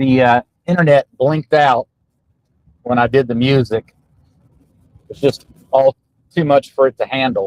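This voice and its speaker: A man speaks at a medium pitch and moderate pace, with fairly even intonation and long, frequent pauses. The sound is dry and close, with no echo. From Virginia (Roanoke area). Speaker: podcast host and political candidate. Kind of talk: casual podcast monologue. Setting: in a car on a road trip. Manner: softer voice, trying not to shout; frequent fillers and hesitations.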